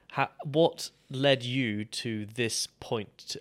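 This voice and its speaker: On a very clean recording with a silent background, a man uses an ordinary speaking voice with ordinary pitch variation. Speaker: podcast host. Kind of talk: casual interview conversation.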